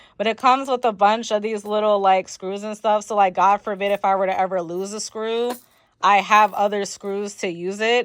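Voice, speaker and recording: Animated in tone, a woman speaks at a fairly quick pace and medium pitch on a very clean recording with a silent background. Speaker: lifestyle vlogger. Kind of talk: casual vlog talk to camera. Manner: fast.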